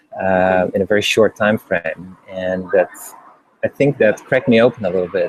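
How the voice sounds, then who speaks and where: A man talks at a moderate pace with a Dutch accent. The sound is dry and close, with no echo. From Netherlands. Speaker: interviewer and former executive. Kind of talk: interview.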